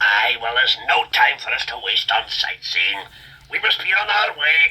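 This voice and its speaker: Putting on a character voice, the man delivers his lines at a moderate pace. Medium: read story. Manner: blunt, terse.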